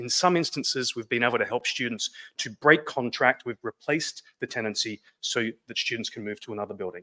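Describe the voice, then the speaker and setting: Speaking with an Australian accent at a fairly quick pace, a man with a medium-pitched voice has a bright, sharp tone in a dry, close recording with no echo. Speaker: business co-founder. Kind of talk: presentation. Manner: fast.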